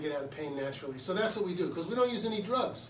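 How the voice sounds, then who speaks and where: A man with an American accent talks at a very fast pace with lively intonation. Noticeable background noise and audible room echo fill the recording. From Philadelphia, US. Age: 60s. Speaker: chiropractor. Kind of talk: promotional talk to camera. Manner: casual, conversational.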